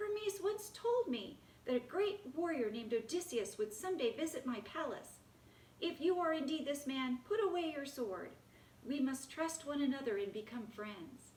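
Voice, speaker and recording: A woman's put-on character voice, high-pitched, at a moderate pace, with clear background noise. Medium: read story.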